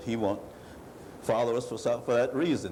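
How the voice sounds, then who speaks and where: Amid noticeable background noise and audible room echo, a man talks fairly quickly with ordinary pitch variation. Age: 70s. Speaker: war veteran. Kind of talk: testimony.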